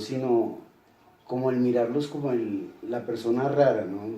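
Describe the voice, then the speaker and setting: Over noticeable background noise and audible room echo, a man talks with fairly even intonation. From Bogotá, Colombia. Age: 60s. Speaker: interviewee. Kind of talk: interview.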